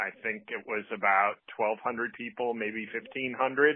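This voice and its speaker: This man uses a normal speaking voice, pitched in the middle, and keeps a moderate tempo. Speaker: record store owner. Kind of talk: voicemail message. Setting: phone call.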